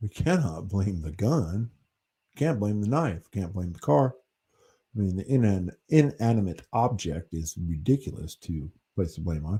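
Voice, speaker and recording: At a fairly slow pace, a man with an American accent speaks in a fairly low pitch and a dark, mellow tone, somewhat breathy, with very wide pitch swings. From US Northeast, New Hampshire. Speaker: livestream host. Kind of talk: casual chat. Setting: livestream. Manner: animated.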